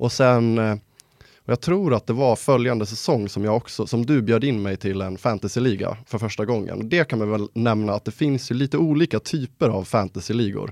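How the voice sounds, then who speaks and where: Over a quiet background, a man in an unremarkable speaking voice talks at a moderate pace and medium pitch, the sound dry and close with no echo. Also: ordinary pitch variation. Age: 20s. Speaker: podcast host. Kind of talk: casual chat.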